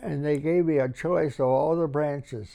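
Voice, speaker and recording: With a Midwestern accent, a man speaks at a fairly high pitch in a dark, mellow tone with ordinary pitch variation. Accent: American Midwestern. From Harvey, Illinois (Chicago area). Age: 80s+. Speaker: war veteran. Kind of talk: interview answer.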